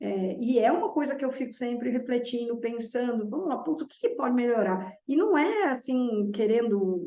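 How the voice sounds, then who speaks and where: At a moderate pace, a woman speaks with high pitch and a dark, mellow tone. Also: lively intonation. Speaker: math teacher. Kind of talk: reflective monologue.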